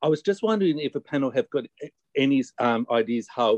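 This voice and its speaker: A man with a plain, everyday voice talks at a fairly quick pace with ordinary pitch variation, in a dry, close sound with no echo. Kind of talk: Q&A question. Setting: video call.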